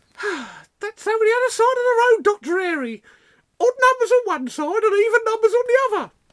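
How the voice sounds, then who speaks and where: A woman puts on a squeaky character voice at an extremely high pitch with ordinary pitch variation. She talks at a fairly quick pace. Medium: audio drama. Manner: gossipy, sighing, wearily patient.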